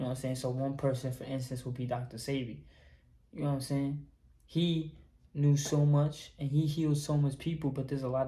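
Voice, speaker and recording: A man talks at a fairly quick pace, somewhat breathy. His intonation is monotone and flat. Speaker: YouTuber, holistic healing talk. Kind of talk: casual vlog monologue. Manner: casual, filler-heavy.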